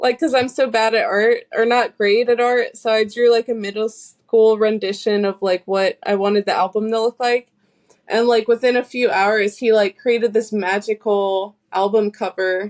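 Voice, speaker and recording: A woman with a plain, everyday voice and an American accent speaks at a moderate pace and fairly high pitch. Her intonation is fairly even, her loudness very even, and the sound dry and close with no echo. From US South, North Carolina. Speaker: singer-songwriter. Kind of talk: casual interview chat.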